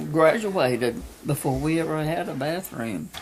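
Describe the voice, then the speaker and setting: With noticeable background noise, a woman speaks fairly slowly in a very deep, low voice with lively intonation. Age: 80s+. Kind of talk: interview answer. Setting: home, background noise. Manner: slow, hesitant.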